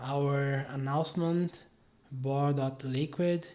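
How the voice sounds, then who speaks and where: A man's dark, mellow voice with a non-native accent and fairly even intonation. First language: not English. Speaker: web developer, tutorial creator. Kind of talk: screen-share tutorial. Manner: hesitant, many fillers.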